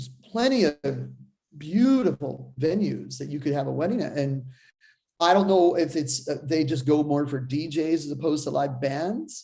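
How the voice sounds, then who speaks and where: A man's somewhat breathy, fairly high voice with a dark, mellow tone, lively intonation, a moderate pace and a slight Boston accent. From Seattle, US. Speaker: drummer. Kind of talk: casual chat.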